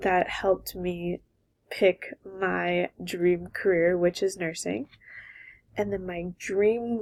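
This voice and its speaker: A woman with a Californian accent is heard in a dry, close sound with no echo. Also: very clean recording, silent background. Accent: Californian American English. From Southern California. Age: 20s. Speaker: college graduate and former softball player. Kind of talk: personal video introduction.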